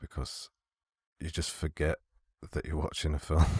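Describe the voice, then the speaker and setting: At a moderate pace and a very deep, low pitch, a man speaks with music in the background. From Britain. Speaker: film student. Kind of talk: movie reaction commentary. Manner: subdued, monotone.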